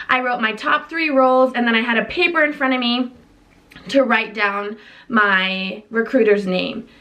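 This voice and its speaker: Over noticeable background noise, a woman speaks at a moderate pace with a fairly high pitch. Her tone is animated. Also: ordinary pitch variation. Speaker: vlogger, college student. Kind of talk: casual vlog talk.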